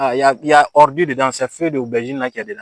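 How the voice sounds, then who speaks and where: The voice rushes along at a very fast pace with ordinary pitch variation. The sound is dry and close, with no echo. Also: man. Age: 20s. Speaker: farmer. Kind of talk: comedic vlog monologue. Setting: outdoors. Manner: animated.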